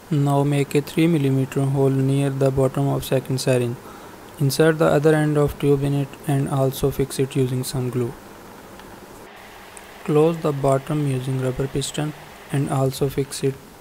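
Over noticeable background noise, a man with a fairly high pitch talks in a monotone, flat way with long, frequent pauses. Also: moderate pace. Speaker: DIY project video maker. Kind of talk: tutorial voice-over.

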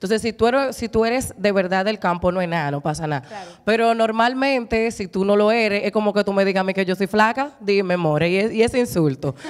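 Against a quiet background, a woman talks at a fairly quick pace with hardly any pauses and ordinary pitch variation. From Dominican Republic, San Pedro de Macorís; Dominican Republic. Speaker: broadcaster and voice-over artist; talk show panelist. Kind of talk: casual chat. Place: studio. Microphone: handheld.

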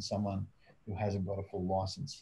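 A man with an Australian accent speaks at a fairly quick pace in a dark, mellow tone that is somewhat breathy. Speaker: private investigator; guest. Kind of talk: casual interview and Q&A. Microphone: webcam.

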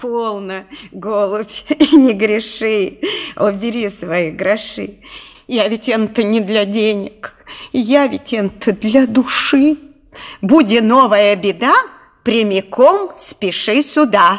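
A put-on character voice that sounds female, pitched fairly high, moves at a fairly slow pace with long, frequent pauses. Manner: cackling, cunning.

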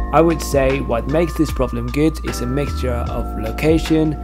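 Moderate-paced speech with music in the background. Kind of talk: vlog narration.

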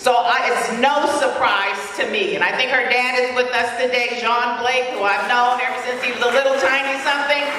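Amid light background noise and audible room echo, a woman speaks at a high pitch and a moderate pace with hardly any pauses. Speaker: community leader. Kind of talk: award presentation speech. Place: hall.

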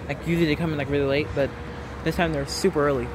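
Noticeable background noise behind a man's dry voice, free of any echo. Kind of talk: casual commentary. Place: open country. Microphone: phone near.

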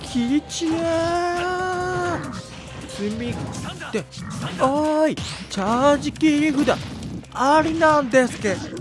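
With music in the background, a man speaks at an extremely high pitch and a very slow pace, using lively intonation and long, frequent pauses. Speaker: game commentator. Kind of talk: gameplay commentary. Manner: whispered.

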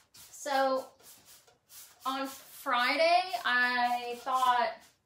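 Animated and high-pitched, a woman talks with an American accent and ordinary pitch variation. Audible room echo surrounds her voice. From Texas. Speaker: furniture painter and boutique owner. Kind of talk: live painting tutorial. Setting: garage, livestream. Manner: chatty, animated. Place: workshop. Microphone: phone near.

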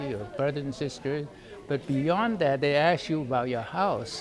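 A man speaks with fairly high pitch. Crowd noise murmurs in the background. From China. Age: 80s+. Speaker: war veteran. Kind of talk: interview answer. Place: hall. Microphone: phone near.

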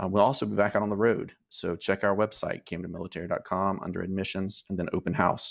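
Against a quiet background, a man speaks at a fairly low pitch with monotone, flat intonation. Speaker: school admissions host. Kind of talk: informational presentation. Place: home room.

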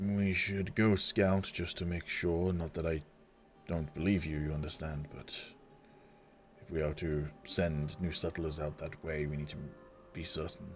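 Putting on a character voice, a man speaks gravelly and very deep at a moderate pace, with long, frequent pauses. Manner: regal, gracious, measured.

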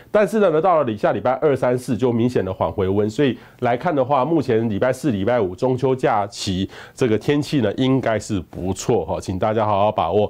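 A man with a Taiwanese accent speaks at a medium pitch and a fairly quick pace. His intonation is lively. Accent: Taiwanese Mandarin. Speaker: meteorologist; presenter. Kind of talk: weather forecast. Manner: conversational, many filler particles. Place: studio. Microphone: lapel.

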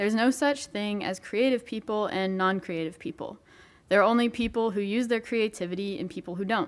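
Here a woman talks at a fairly quick pace. Her pitch is medium, with ordinary variation. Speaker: college student. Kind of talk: testimony. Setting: church. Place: church. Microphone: podium.

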